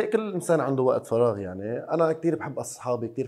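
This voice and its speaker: A man with a medium pitch speaks at a fairly quick pace, his pitch swinging very widely. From Lebanon. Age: 20s. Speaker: basketball player; guest. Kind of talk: casual interview. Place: studio. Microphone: lapel.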